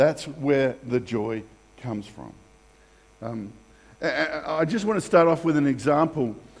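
Audible room echo frames a man's voice. He speaks at a fairly high pitch with lively intonation. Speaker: pastor. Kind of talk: sermon. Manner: halting, many fillers and restarts.

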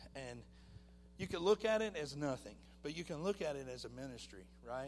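A man is speaking. His pace is moderate. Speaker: minister. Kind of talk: testimony. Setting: church. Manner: halting.

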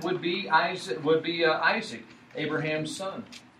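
The intonation stays fairly even, with noticeable background noise and audible room echo. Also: man. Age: 40s. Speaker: preacher. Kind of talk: sermon.

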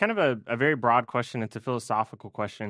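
A man talks at a very fast pace against a quiet background. The sound is dry and close, with no echo. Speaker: seminary student preacher. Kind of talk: sermon. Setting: church.

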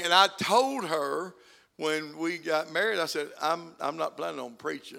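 A man with an Arkansas accent speaks in a bright, sharp tone on a very clean recording with a silent background. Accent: Southern US (Arkansas). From Arkansas, US South. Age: 70s. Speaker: guest preacher. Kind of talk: sermon. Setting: church.

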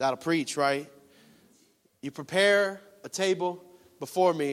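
In a relaxed, animated tone, a man talks at a fairly slow pace with ordinary pitch variation and long, frequent pauses.

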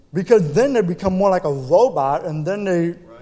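A man with an American accent and a high pitch, at a fairly quick pace with ordinary pitch variation, amid noticeable background noise. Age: 30s. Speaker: deaf missionary. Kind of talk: sermon. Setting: church.

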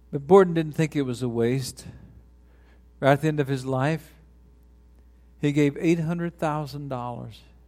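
With music in the background, a man with a fairly high pitch and an American accent speaks at a moderate pace with fairly even intonation and long, frequent pauses. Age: 60s. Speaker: retiring pastor. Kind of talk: sermon. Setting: church.

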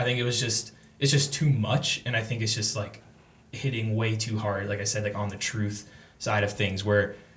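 A man's fairly low voice at a fairly quick pace, fairly even in intonation, over noticeable background noise. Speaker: college student. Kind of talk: casual chat.

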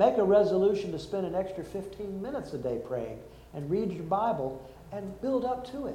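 A man with a high pitch and very wide pitch swings talks at a moderate pace amid noticeable background noise. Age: 60s. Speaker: pastor. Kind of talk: sermon.

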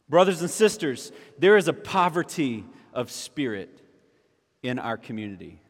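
In a very clean recording with a silent background, a man with a South Carolina accent and vocal fry speaks at a moderate pace and fairly high pitch, with long, frequent pauses, big swings in loudness and very wide pitch swings. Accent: Southern US (South Carolina). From US South, South Carolina (Orangeburg). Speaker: pastor. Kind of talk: sermon.

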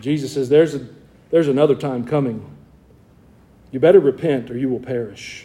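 A man with a Southern US accent at medium pitch, a fairly quick pace broken by long, frequent pauses, fairly even intonation and big swings in loudness. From US South, Georgia. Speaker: pastor. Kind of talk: sermon. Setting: church.

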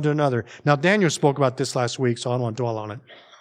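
On a very clean recording with a silent background, a man with a Northern US accent talks very fast at a medium pitch with ordinary pitch variation. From US North. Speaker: pastor. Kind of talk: sermon. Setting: church. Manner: informal, animated.

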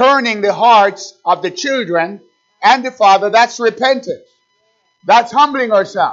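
Music plays in the background as a man speaks with a high pitch and ordinary pitch variation. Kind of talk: sermon. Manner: exhortative, urgent pulpit delivery with rhetorical questions and repetition; halting at times, with filler pauses between phrases.

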